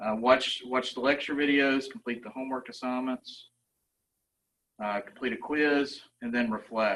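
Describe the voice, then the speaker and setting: At a moderate speed comes a normal speaking voice. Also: man. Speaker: university lecturer. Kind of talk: presentation.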